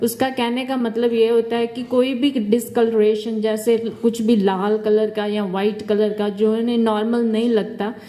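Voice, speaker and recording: Against noticeable background noise, a woman with a fairly high pitch speaks fairly slowly in a flat monotone, with hardly any pauses. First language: not Hindi-dominant; mixes Hindi and English. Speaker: dental hygiene student. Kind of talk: health presentation.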